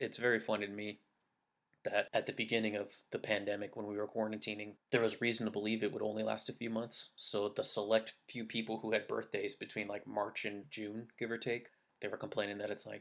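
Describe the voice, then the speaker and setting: Fairly low in pitch, a man speaks at a fairly quick pace with monotone, flat intonation. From California, near Monterey Bay. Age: 30s. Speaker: podcast host. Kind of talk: casual solo podcast monologue. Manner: pauses and stammers.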